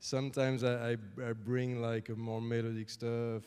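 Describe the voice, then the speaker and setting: This man has a French accent and a medium-pitched, dark, mellow tone. He talks at a moderate pace with flat, monotone intonation. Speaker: music composer. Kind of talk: Q&A with audience. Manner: halting.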